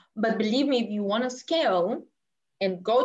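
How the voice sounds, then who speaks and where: The speaker has a Bulgarian accent. The pace is moderate, with ordinary pitch variation. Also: woman. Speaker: business coach. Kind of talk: interview.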